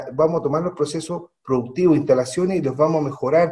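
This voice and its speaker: The man's tone is dark and mellow. His pitch stays fairly even throughout. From Chile, Santiago. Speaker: mining executive. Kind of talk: radio interview.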